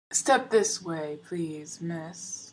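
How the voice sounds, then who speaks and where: Middle-pitched, put-on character voice. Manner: servile, ingratiating.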